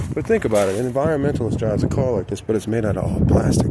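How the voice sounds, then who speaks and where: Noticeable background noise sits behind a man with an American accent speaking in a medium pitch. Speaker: DIY auto channel host. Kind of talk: casual vlog walkthrough. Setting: outdoors at a junkyard.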